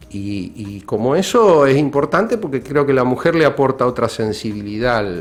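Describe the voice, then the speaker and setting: A man talks in a plain, everyday voice at medium pitch and a moderate pace, with lively intonation and hardly any pauses. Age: 60s. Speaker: radio guest. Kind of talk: radio interview.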